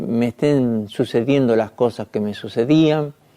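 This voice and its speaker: Here a man speaks at medium pitch with a dark, mellow tone. His pace is very slow and his pitch variation ordinary. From Argentina. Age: 60s. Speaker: journalist giving testimony. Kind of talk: testimony. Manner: halting, frequent fillers.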